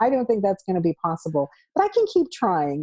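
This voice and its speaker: A woman speaks in a dark, mellow tone, recorded dry and close with no echo. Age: 60s. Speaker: travel blogger. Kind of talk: casual interview chat.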